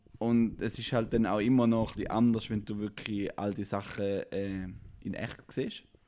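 A man speaks fairly slowly in a fairly low, dark, mellow voice with a slight St. Gallen accent. His intonation stays monotone and flat. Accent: St. Gallen Swiss German dialect, slight. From eastern Switzerland, St. Gallen. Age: 30s. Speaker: co-founder of an artist support platform. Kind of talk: podcast interview.

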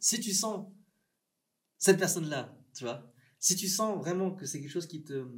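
The man has an ordinary speaking voice. He speaks at a fairly quick pace with lively intonation. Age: 30s. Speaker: filmmaker. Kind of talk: casual interview.

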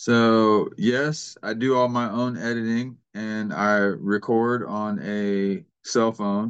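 Against a quiet background, a man with an ordinary speaking voice and an American accent talks at a fairly low pitch with fairly even intonation. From Kansas City, Missouri. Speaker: YouTuber and gold prospector. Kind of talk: casual chat.

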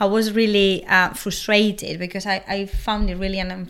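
A woman with a Spanish accent at a moderate pace. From Spain. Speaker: podcast co-host. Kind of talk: interview.

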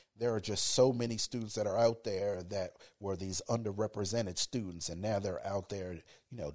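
This man speaks at a moderate pace in a fairly low pitch, with ordinary pitch variation and a slightly mellow tone.

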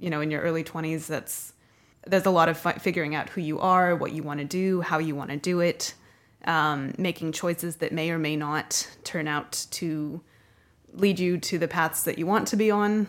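Using a plain, everyday voice, a woman with a North American accent speaks at a moderate pace with fairly low pitch and fairly even intonation on a very clean recording with a silent background. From US and Canada. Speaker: guest, graduate and dancer. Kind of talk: casual interview.

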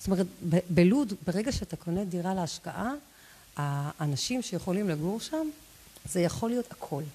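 The voice is somewhat breathy with a dark, mellow tone, lively intonation, a moderate pace and long, frequent pauses. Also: woman, medium pitch for a woman. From Israel, Lod. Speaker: real estate agent. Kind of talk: interview. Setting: live stream.

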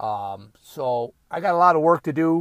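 A man's voice comes through a very clean recording with a silent background and a dry, close sound with no echo. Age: 50s. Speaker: podcaster. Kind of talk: casual monologue. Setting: at home. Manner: halting.

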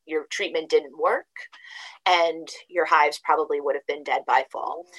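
Using a normal speaking voice with an American accent, a woman talks at a moderate pace with fairly even intonation in a dry, close sound with no echo. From downstate New York. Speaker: state apiarist. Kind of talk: interview.

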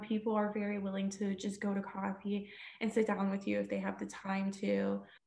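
There is a slight breathiness to this woman's voice. She talks with an American accent. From Texas, Houston. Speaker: TV news reporter. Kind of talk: interview.

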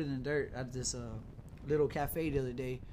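Audible room echo surrounds a man talking in an animated tone at a fairly quick pace. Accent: American. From South Texas. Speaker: hip hop podcast host. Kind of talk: casual chat.

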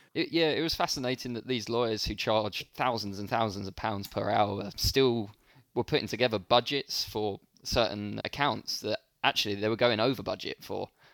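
A man with a London accent is heard in a very clean recording with a silent background, the sound dry and close with no echo. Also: medium pitch for a man, ordinary pitch variation, moderate pace. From London, England. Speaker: startup founder and CEO. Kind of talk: interview conversation.

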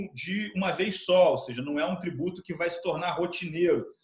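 This man has a high pitch with ordinary pitch variation. He talks at a fairly quick pace. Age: 40s. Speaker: tax law professor and lawyer. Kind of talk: interview. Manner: halting, many fillers and repetitions.

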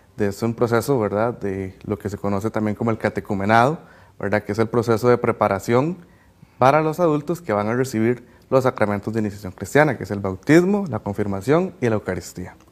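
A man at a fairly quick pace and medium pitch, with ordinary pitch variation, on a very clean recording with a silent background. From Cartago. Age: 20s. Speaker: lay catechist. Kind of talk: personal testimony. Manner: hesitant, many fillers.

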